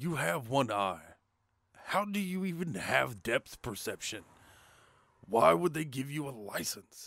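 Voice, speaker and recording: A man's raspy, put-on character voice at medium pitch, with very wide pitch swings, a fairly slow pace and long, frequent pauses. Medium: audio drama. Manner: wisecracking.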